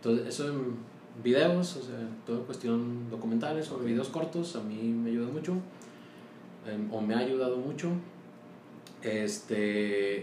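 A man with a medium-pitched voice talks at a fairly slow pace, leaving long, frequent pauses. His pitch varies in an ordinary way, with audible room echo and noticeable background noise. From Mexico, Torreón, Coahuila. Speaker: accountant and business owner. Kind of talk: casual interview.

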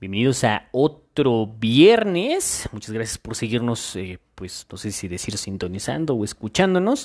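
Very wide pitch swings run through a fairly slow delivery. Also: man. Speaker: podcast host. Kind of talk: casual monologue.

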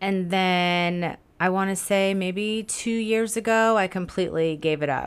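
With an American accent, a woman delivers a normal speaking voice at medium pitch and a fairly slow pace, keeping her intonation fairly even and her loudness very even. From South Florida. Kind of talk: casual interview chat.

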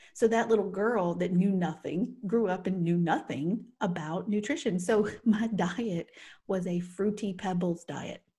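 A woman speaks at a fairly slow pace and a medium pitch, her tone dark, mellow and somewhat breathy. The recording is very clean with a silent background. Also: ordinary pitch variation. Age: 40s. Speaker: podcast co-host. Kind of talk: casual chat.

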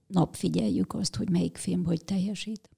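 A woman speaks in a dark, mellow tone with vocal fry. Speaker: cinema manager and film festival organizer. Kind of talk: casual interview.

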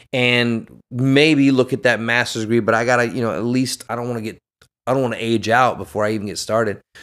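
Speaking at a fairly quick pace, this man has a normal speaking voice, a medium pitch and fairly even intonation. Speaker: actor and military veteran. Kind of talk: casual chat.

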